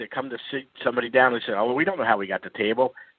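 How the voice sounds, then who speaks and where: This man has a Philadelphia accent. His intonation stays fairly even. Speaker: caller. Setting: phone call.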